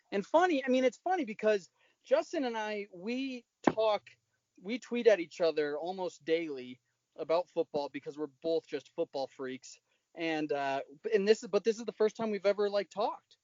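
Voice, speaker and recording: Speaking with a Midwestern accent, a man uses a high pitch that swings very widely. His pace is moderate. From Utah. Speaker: podcast host. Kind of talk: casual chat.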